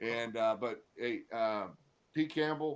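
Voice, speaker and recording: A man with an unremarkable speaking voice talks at a medium pitch with fairly even intonation. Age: 60s. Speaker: sports podcast host, former football player. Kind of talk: casual chat.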